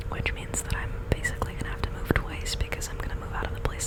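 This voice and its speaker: A woman whispers in a relaxed tone. Background noise is noticeable behind her. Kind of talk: ASMR close-up whisper ramble, casual talk to camera. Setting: studio, close to a desktop microphone. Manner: whispered, conversational, relaxed.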